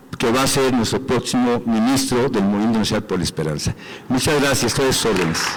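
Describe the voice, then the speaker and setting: Noticeable background noise sits behind a man of medium pitch who talks fairly quickly, with very even loudness and ordinary pitch variation. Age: 60s. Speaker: athlete and movement representative. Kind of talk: assembly report.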